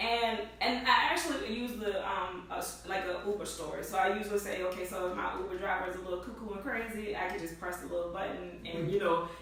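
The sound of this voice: Audible room echo carries a woman's voice as she speaks at a fast pace. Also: medium pitch for a woman, ordinary pitch variation.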